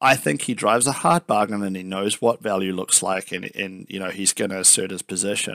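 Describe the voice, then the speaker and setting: A man with a New Zealand accent speaks at a fairly quick pace and fairly low pitch in a bright, sharp tone. The recording is very clean with a silent background and a dry, close sound with no echo. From New Zealand, Palmerston North. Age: 30s. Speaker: software company founder and CEO. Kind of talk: interview.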